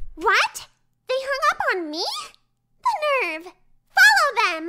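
Her pitch is extremely high, with very wide swings and a bubbly, excited tone. The woman speaks at a fairly slow pace. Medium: comedy sketch. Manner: bubbly, bossy, childishly excited.

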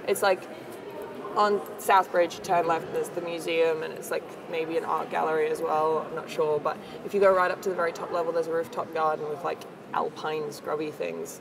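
Over noticeable background noise, a woman talks at a fairly quick pace with a fairly low pitch and fairly even intonation. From Australia. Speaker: comedy performer; guest. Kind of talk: casual interview chat. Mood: relaxed, reflective.

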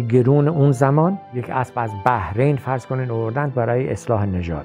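Music plays faintly in the background. Over it, a man speaks. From Bam, Kerman, Iran. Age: 60s. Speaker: farmer and horse breeder; retired teacher. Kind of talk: documentary interview answer. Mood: proud, reminiscing. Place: home room.

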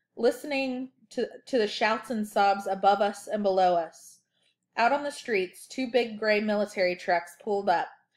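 Against a quiet background, the speaker uses an unforced reading voice with ordinary pitch variation.

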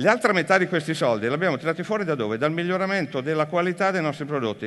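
Against a quiet background, a man talks in a high voice with ordinary pitch variation. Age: 50s. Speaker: business executive; speaker. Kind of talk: conference talk. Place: stage.

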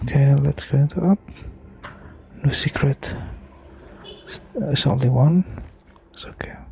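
A man whispers with an Indonesian accent amid noticeable background noise. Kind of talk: ASMR gameplay commentary. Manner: whispered, slow, soft-spoken.

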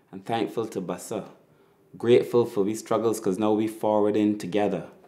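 This man has a fairly low pitch and a dark, mellow tone. His pace is fairly quick. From Barbados. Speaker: spoken word poet. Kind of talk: spoken word poetry performance. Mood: proud, nostalgic, warm.

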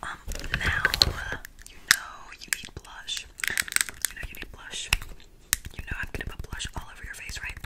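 A woman whispers at a moderate pace, leaving long, frequent pauses. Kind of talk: soft roleplay chat. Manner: soft close ASMR murmur. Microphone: phone near.

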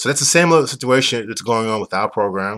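A man speaks with a New York accent against a quiet background. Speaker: business owner explaining a used car dealer licensing program. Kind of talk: explanatory sales talk. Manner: fast talker. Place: home room. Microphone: webcam.

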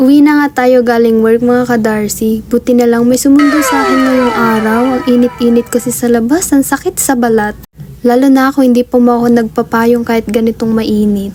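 A woman's high voice at a fairly quick pace, with hardly any pauses, very even loudness and noticeable background noise. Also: fairly even intonation. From Philippines, Tarlac. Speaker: vlogger. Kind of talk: casual vlog narration.

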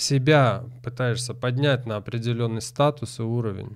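A man is speaking. His pace is very slow. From Crimea (Simferopol); Crimea. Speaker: tango teacher. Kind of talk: casual chat. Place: studio. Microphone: studio mic.

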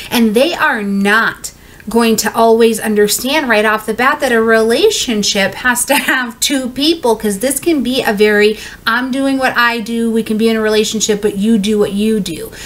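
The speaker is a woman with ordinary pitch variation. She talks at a moderate speed. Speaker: astrology reader. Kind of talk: casual explainer talk. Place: home room.

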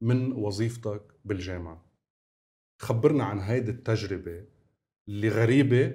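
The voice has a dark, mellow, somewhat breathy tone and ordinary pitch variation, moving at a fairly slow pace with long, frequent pauses. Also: man, fairly low pitch for a man. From Lebanon, north (Bsharri); Lebanon. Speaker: talk show host. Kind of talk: talk show interviewing. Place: studio. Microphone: lapel.

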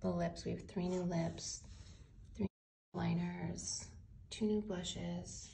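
A soft-spoken woman with a very deep, low voice and vocal fry, at a fairly slow pace over light background noise. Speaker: beauty brand founder. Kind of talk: casual product unboxing to camera. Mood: delighted, admiring. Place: home room. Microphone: phone near.

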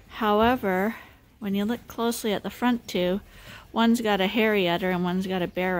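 With ordinary pitch variation, the woman talks at a moderate speed. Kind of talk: casual farm vlog explanation. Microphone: phone near.

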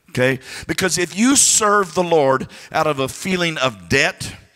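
Over a quiet background, a man speaks at a very slow pace in a bright, sharp tone. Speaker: preacher. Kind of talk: sermon. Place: church. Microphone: handheld.

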